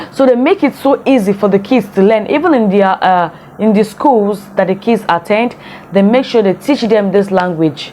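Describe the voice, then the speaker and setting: Against noticeable background noise, a woman with a Nigerian accent talks at a medium pitch with ordinary pitch variation. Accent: Nigerian Igbo English. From Nigeria, Igbo from Imo State. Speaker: vlogger. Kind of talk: casual vlog commentary.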